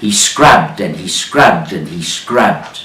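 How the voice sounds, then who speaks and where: Noticeable background noise fills the recording. A man talks at a fairly slow pace. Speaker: business storyteller. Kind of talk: storytelling of a fable.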